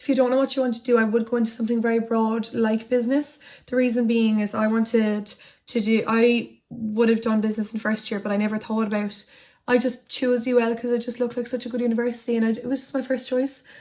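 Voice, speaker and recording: A woman with an Irish accent, fairly high pitch, dark, mellow tone, monotone, flat intonation and a very fast pace. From Ireland, County Tipperary. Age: 20s. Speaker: YouTuber. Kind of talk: casual chat. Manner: casual, hesitant with many fillers.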